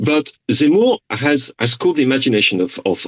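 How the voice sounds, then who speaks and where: A man in a French accent, fairly high in pitch, with vocal fry, very wide pitch swings and a moderate pace, in a dry, close sound with no echo. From France. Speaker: journalist. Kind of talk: radio interview.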